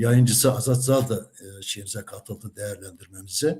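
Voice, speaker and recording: Somewhat breathy, a man with a medium pitch talks at a fairly slow pace. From Central Anatolia, Kırşehir (Kaman). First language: Kurdish (speaking Turkish). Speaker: retired teacher, Kurdish language teacher. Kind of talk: interview. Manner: hesitant, many filler sounds.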